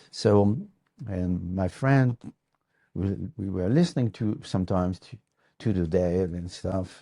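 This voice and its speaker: A man's very deep, low voice with a French accent and a dark, mellow tone, fairly slow, with ordinary pitch variation and long, frequent pauses. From France, northeast near Luxembourg border. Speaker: guitar maker. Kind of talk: casual interview, storytelling. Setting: workshop. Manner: halting, many fillers and repeats.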